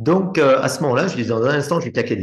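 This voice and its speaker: The voice is somewhat breathy, with lively intonation. Audible room echo comes through. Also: man. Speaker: hypnosis trainer. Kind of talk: live teaching session.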